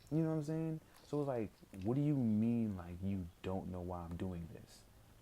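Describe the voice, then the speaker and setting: A man mumbles in a dark, mellow tone. His intonation is lively and his pace moderate. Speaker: gaming streamer. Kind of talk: casual gameplay commentary. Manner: mumbling; casual, filler-heavy.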